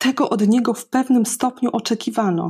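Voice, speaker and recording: A woman's somewhat breathy voice, dark and mellow in tone, speaks at a fairly slow pace with fairly even intonation on a very clean recording with a silent background. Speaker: bilingual German-Polish presenter and reader. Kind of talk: reading aloud.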